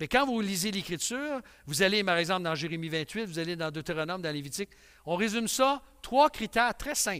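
In a quiet background, a man talks fairly quickly with a high pitch, a bright, sharp tone and lively intonation. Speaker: pastor. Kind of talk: sermon. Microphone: headset.

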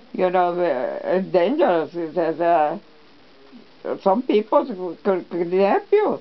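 A woman with an American accent and medium pitch, very slow but lively in intonation, over noticeable background noise. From Texas. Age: 80s+. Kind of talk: family storytelling interview. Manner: hesitant, halting.

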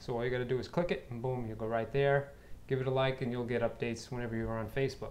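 A man speaks at a very fast pace. His intonation is fairly even. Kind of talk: casual vlog chat. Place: home room. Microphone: phone near.

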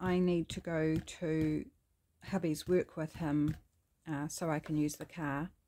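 Talking at a fairly slow pace, a woman with a New Zealand accent has a fairly low pitch and a dark, mellow tone. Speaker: craft YouTuber. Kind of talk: crafting tutorial. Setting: home craft studio. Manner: casual and chatty.

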